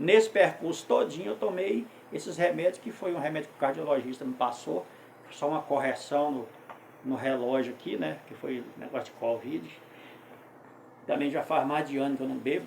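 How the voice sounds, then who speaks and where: Amid audible room echo, a man speaks with lively intonation, big swings in loudness and long, frequent pauses. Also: fairly high pitch for a man, moderate pace. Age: 60s. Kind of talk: testimony; informal sermon. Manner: conversational, with self-corrections.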